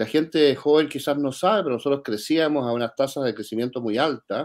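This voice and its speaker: A man with a normal speaking voice talks at a fairly quick pace, his pitch varying in an ordinary way. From Chile. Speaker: think tank director, economist. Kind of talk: interview.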